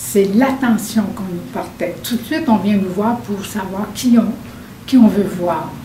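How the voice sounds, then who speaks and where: Very slow speech with ordinary pitch variation, noticeable background noise and audible room echo. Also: woman, medium pitch for a woman. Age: 70s. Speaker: hearing-impaired senior client. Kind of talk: testimony. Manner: halting, many repetitions.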